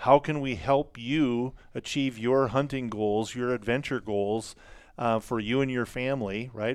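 A man with an unremarkable speaking voice, medium pitch, fairly even intonation and a moderate pace, in a very clean recording with a silent background. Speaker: outfitter company staff. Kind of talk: casual chat. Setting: studio.

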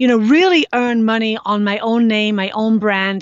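A woman's fairly high voice with a Scouse accent. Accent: Scouse, Liverpool English. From Liverpool, England. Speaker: speaker, author, fitness expert. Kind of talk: casual interview.

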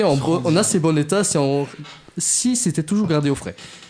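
Talking at a fairly quick pace, a man with a high voice is heard over noticeable background noise. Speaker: radio show panelist doing a comedic segment. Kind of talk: comedic scripted segment.

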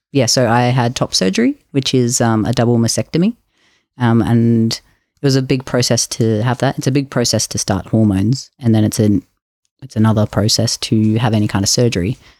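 A man with an Australian accent speaks at a fairly quick pace, his pitch medium and his intonation fairly even. The recording is very clean with a silent background, dry and close with no echo, and the loudness stays very even. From Queensland, Australia. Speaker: podcast guest sharing mental health story. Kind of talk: interview testimony.

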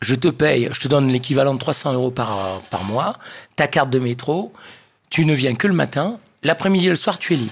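Lively intonation marks this man's speech. His pitch is fairly high and his pace moderate. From Réunion Island. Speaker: session musician. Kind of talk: casual chat.

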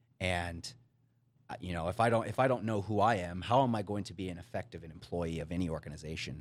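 A man with an unremarkable speaking voice talks at a fairly quick pace and a fairly low pitch, with ordinary pitch variation. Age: 30s. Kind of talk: podcast conversation. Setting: studio.

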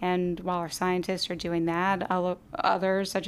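A woman with an American accent and a normal speaking voice, medium pitch, moderate pace, on a very clean recording with a silent background. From Virginia. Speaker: environmental advocate, epidemiologist. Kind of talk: interview.

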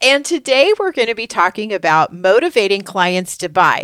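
An animated woman speaks at a moderate pace on a very clean recording with a silent background and a dry, close sound with no echo. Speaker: podcast co-host, business coach. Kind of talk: casual business podcast chat. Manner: animated, chatty.

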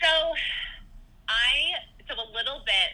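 A woman speaks with a Californian accent. Noticeable background noise runs beneath her. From Southern California. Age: 30s. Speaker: podcast host. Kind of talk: casual chat.

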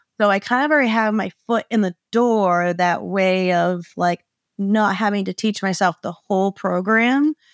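A woman's plain, everyday voice at medium pitch, with an American accent, ordinary pitch variation and a moderate pace, in a very clean recording with a silent background and a dry, close sound with no echo. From Maine, US. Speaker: small business owner, sign designer. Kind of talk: interview, casual chat.

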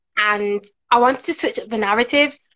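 A woman's fairly high voice with a Birmingham accent. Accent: Birmingham, fairly strong. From Birmingham, England. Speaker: author and career coach. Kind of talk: casual interview chat.

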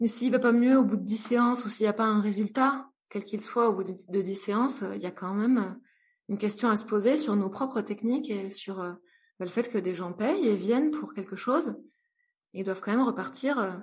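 A woman's somewhat breathy voice, fairly high in pitch with ordinary variation, at a moderate pace with long, frequent pauses. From France, rural, partly raised in Brazil. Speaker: entrepreneur and psychologist. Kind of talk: interview conversation. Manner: hesitant, many fillers.

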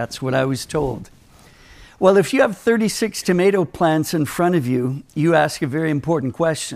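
With an American accent, a man speaks in a normal speaking voice at a fairly high pitch and moderate pace, his intonation lively. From Minnesota, US. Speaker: Bible teacher. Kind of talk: sermon. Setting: conference with audience.

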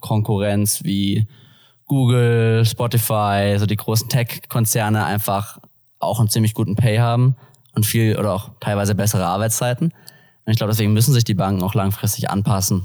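A man talks at a moderate pace in a medium pitch with a normal speaking voice. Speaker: business student and former banker. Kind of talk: podcast interview. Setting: studio, sitting opposite the host.

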